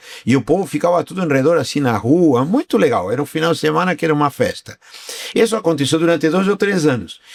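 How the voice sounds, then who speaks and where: Lively intonation marks a man with a fairly high pitch speaking at a very fast pace, his loudness very even. Noticeable background noise is present. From Argentina. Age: 60s. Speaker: business owner. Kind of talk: interview podcast.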